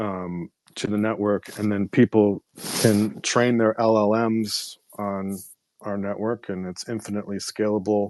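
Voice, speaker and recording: The voice moves at a fairly slow pace in a monotone, flat intonation, with a dry, close sound and no echo. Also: man, fairly low pitch for a man. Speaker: AI compute startup founder and songwriter. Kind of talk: casual chat.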